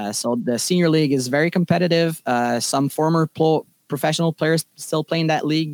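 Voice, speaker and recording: A man with a Quebec accent talks at a fairly quick pace in a fairly high pitch, his intonation fairly even and the sound dry and close with no echo. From Quebec, Laval. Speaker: baseball umpire. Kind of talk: casual interview.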